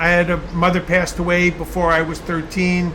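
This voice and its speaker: A man with a high pitch talks at a moderate pace with a Long Island accent. Audible room echo and noticeable background noise are present. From Long Island, New York suburbs. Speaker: artist and vlogger. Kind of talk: casual monologue vlog turning into lecture. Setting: in a garage with a car.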